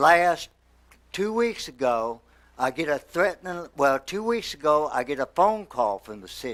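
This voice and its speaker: This man has a fairly high pitch and lively intonation. He speaks at a fairly slow pace. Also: very clean recording, silent background. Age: 60s. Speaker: resident speaking at public comment. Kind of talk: public comment at council meeting. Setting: city council meeting. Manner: emotional, agitated.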